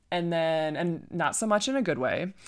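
With a Michigan accent, a woman talks at a moderate pace on a very clean recording with a silent background. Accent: Midwestern US (Michigan). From Michigan, Flint area. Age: 30s. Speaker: podcast host, wedding planner. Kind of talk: casual personal monologue. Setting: at home, casual.

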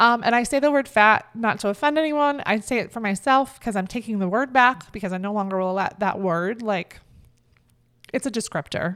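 A woman with a normal speaking voice talks fairly quickly at a fairly high pitch with ordinary pitch variation, recorded very cleanly against a silent background. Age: 30s. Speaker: podcast co-host. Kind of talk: casual chat.

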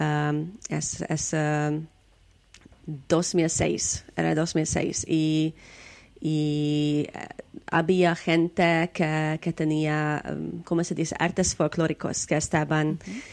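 A woman with a very deep, low pitch speaks at a very slow pace in a monotone, flat intonation. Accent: Hungarian. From Hungary. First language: Hungarian (speaking Spanish). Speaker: storyteller and folklore researcher. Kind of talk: interview. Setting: video call. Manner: halting.

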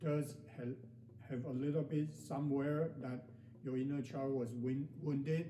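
Noticeable background noise accompanies a man speaking in a fairly high pitch. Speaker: meditation guide. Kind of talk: guided meditation. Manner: slow, calm, soothing, gently paced with pauses; hesitant, with frequent fillers and repeated words.

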